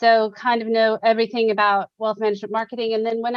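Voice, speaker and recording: A woman talks at a very fast pace with an American accent. Her pitch is fairly high. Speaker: marketing consultant. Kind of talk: webinar interview. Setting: video call.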